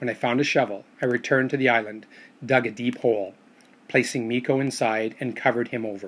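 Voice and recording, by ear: Natural-voiced reading aloud, its intonation fairly even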